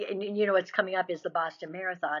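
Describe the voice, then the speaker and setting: The woman's voice is fairly low in pitch. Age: 60s. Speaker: ultramarathon runner. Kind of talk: interview. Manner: halting, many fillers and restarts.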